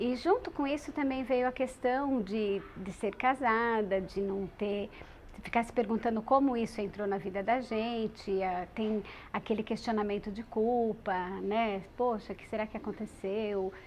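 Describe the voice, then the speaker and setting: At a fairly slow pace, a woman with a fairly high pitch and ordinary pitch variation talks in an ordinary speaking voice. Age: 40s. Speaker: radio presenter living with HIV. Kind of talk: testimony.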